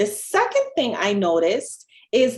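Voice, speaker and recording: A woman speaks at a very slow pace in a fairly high pitch. Her intonation is lively. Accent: Jamaican. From Jamaica. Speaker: dietitian. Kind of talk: podcast interview.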